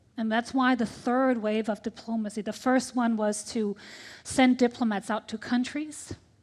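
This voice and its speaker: Here a woman with an American accent has a fairly high pitch. She talks at a moderate pace with monotone, flat intonation. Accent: American-sounding English. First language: Danish. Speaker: tech ambassador, diplomat. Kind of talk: panel discussion.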